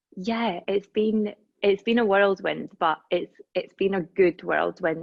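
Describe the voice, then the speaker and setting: Speaking in a Scottish accent at a very slow pace, a woman uses a medium pitch and fairly even intonation. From Scotland, Dundee. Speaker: reiki practitioner and holistic healer. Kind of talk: casual chat.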